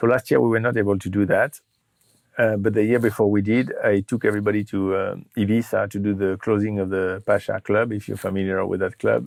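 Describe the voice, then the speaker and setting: A man's fairly low voice at a fairly quick pace. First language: French. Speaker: startup CEO. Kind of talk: interview. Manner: hesitant, many fillers and repeats.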